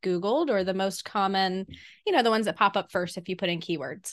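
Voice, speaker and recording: Speaking with an American accent, a woman uses a medium pitch and ordinary pitch variation. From US South. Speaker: podcast co-host. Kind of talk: casual chat.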